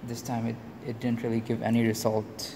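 Speaking fairly quickly at a medium pitch, a man is heard against noticeable background noise. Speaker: student. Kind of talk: project demonstration. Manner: hesitant with many fillers.

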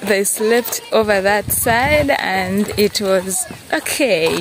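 A woman speaks at a very slow pace. The sound is dry with no echo, and there is noticeable background noise. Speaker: village vlogger. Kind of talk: casual vlog chat. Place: open country. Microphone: phone near.

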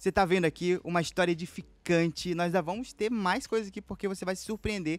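An animated man's high voice at a fairly quick pace, with ordinary pitch variation and a dry sound with no echo. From Amazonas interior, Brazil. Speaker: podcast host. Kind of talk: casual interview chat. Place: studio. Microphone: studio mic.

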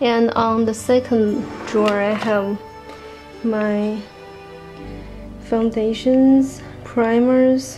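Words come out very slowly. Faint noise lingers behind them. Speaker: beauty vlogger. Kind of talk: casual talk to camera. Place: home room.

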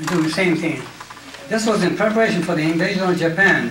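A man's high-pitched voice with ordinary pitch variation, light background noise and audible room echo. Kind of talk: public talk, personal memoir. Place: hall. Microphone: handheld.

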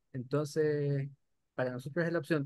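Moving at a fairly quick pace, a man speaks with a fairly high pitch, ordinary pitch variation and a dark, mellow tone. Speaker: webinar moderator, lab microbiologist. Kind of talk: webinar discussion.

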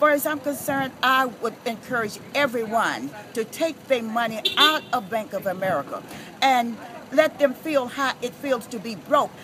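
The pace is moderate as a woman talks. Noticeable background noise surrounds her voice. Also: ordinary pitch variation. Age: 70s. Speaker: daycare provider; protester facing foreclosure. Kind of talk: interview answer at a street protest. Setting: outdoors. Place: street. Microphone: phone near.

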